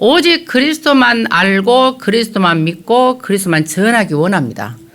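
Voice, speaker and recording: A woman's voice moves through very wide pitch swings. Noticeable background noise sits behind it. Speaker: pastor. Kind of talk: sermon. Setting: church. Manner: hesitant, many filler sounds.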